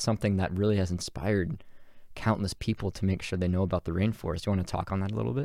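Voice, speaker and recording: A normal speaking voice with ordinary pitch variation in a very clean recording with a silent background. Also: man. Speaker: podcast host. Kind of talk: casual interview.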